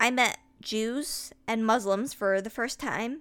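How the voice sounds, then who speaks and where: With an American accent and a fairly high pitch, a woman speaks in a plain, everyday voice at a fairly slow pace with ordinary pitch variation, captured in a very clean recording over a silent background. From US, upstate New York. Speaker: podcaster. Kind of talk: personal essay monologue.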